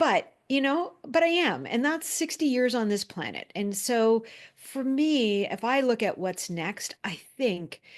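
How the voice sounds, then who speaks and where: Speaking fairly slowly, a woman uses a high pitch that moves in very wide swings. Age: 50s. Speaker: storyteller and speaker. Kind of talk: interview conversation. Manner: halting.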